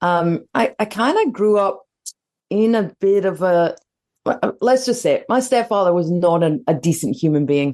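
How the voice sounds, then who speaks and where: A woman with a Scottish accent speaks at a moderate pace and medium pitch in a dark, mellow tone. Her intonation is lively while her loudness stays very even. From Scotland. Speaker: leadership mentor. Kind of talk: interview.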